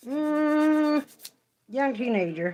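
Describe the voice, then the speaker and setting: With a slight West Virginia accent, a woman speaks in very wide pitch swings. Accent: slight West Virginia country. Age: 40s. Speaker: nail artist livestreamer. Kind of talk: casual chat. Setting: livestream.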